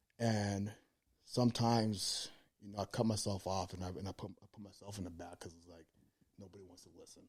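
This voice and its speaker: Fairly quick and somewhat breathy, a man speaks with a fairly low pitch and a monotone, flat intonation, his loudness swinging widely. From Cuban heritage. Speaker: pro bodybuilder. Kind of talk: casual chat. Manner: fast.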